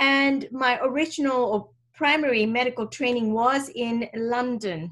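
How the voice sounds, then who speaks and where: Her high pitch moves with ordinary pitch variation as this woman talks at a fairly slow pace. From Kenya, Indian community. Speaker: medical doctor and author. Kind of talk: interview.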